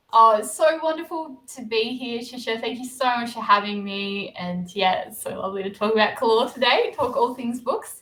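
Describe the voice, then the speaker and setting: A woman with an Australian accent speaks at a moderate pace in a fairly high pitch, her pitch varying in an ordinary way and hardly any pauses breaking her speech. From Australia, Blue Mountains near Sydney. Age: 30s. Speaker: novelist. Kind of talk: interview. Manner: hesitant, many fillers.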